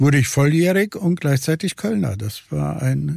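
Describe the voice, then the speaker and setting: The recording is very clean with a silent background. A man with a fairly high pitch speaks in a dark, mellow, somewhat breathy tone. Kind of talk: interview. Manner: halting.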